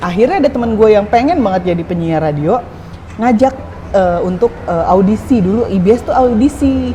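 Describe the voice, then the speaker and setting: The intonation is lively and the pace fairly quick. Noticeable background noise is present. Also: woman, medium pitch for a woman. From Tangerang, Indonesia. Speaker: former radio announcer. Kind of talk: casual interview chat.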